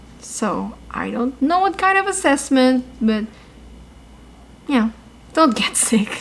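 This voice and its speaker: A woman talks in an upbeat tone at a high pitch. Her pace is fairly slow, with noticeable background noise behind her. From Philippines. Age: 20s. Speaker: travel news vlogger. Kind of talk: casual news update to camera. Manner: upbeat, chatty.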